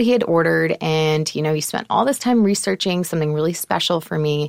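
A woman has a normal speaking voice with a fairly low pitch. She talks at a fairly quick pace with lively intonation. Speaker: entrepreneur guest, wife. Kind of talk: casual interview. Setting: studio.

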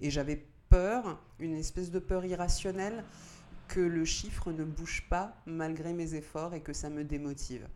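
A woman's fairly low, dark and mellow voice at a fairly slow pace, with ordinary pitch variation. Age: 30s. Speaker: engineer. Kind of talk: interview.

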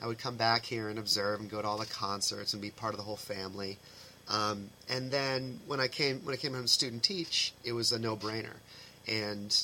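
With an American accent and a bright, sharp tone, a man talks at a moderate pace and medium pitch with ordinary pitch variation. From Massachusetts, US. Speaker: high school band director. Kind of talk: casual interview chat.

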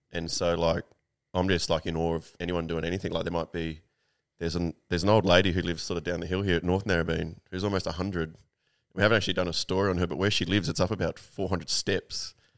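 On a very clean recording with a silent background, a man with an Australian accent talks at a very fast pace in a very deep, low pitch with monotone, flat intonation. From Sydney, Australia (inner west). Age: 40s. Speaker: magazine owner and writer. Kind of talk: casual interview chat.

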